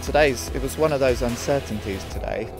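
Over loud background music, a man talks at a moderate pace with a dry sound and no echo. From United Kingdom. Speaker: Olympic sprint kayaker. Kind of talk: interview answer. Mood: pleased, relaxed. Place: waterside.

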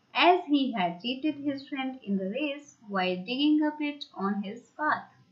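A woman's high-pitched voice with very wide pitch swings. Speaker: school English teacher. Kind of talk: lecture.

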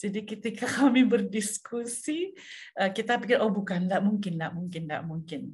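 Against a quiet background, a woman speaks at a fairly quick pace. Her voice is fairly high and somewhat breathy. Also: ordinary pitch variation. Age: 60s. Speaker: pastor. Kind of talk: sermon. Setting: video call. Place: home room. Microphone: webcam.

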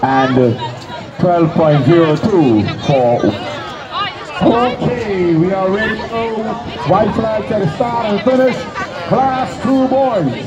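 Against noticeable background noise, a man speaks very slowly at a high pitch, swinging very widely in pitch and pausing long and often. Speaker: track meet announcer. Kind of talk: live sports commentary. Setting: PA system at track meet. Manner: rattling off lane assignments and race times. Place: stadium.

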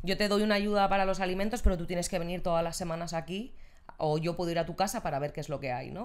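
A woman talks at a very fast pace in a fairly low pitch with ordinary pitch variation. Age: 30s. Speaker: social integration worker; podcast guest. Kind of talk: casual chat. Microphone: handheld.

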